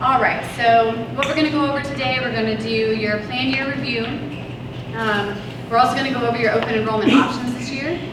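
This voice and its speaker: Amid noticeable background noise and audible room echo, a woman talks at a fairly quick pace with a fairly high pitch and ordinary pitch variation. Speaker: insurance broker. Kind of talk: presentation to school staff. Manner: loud. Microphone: kept far from the microphone.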